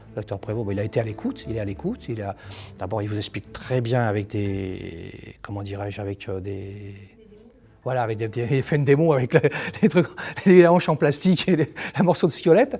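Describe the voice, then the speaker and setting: Over noticeable background noise, a man with a medium pitch talks at a fairly quick pace, his intonation lively, his loudness swinging widely and his speech marked by long, frequent pauses. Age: 60s. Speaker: patient. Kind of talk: testimony. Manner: halting.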